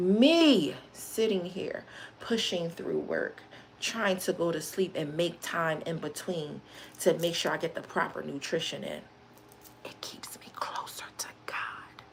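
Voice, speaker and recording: A woman at a very slow pace, with big swings in loudness, over noticeable background noise. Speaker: live streamer. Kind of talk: motivational talk on a livestream.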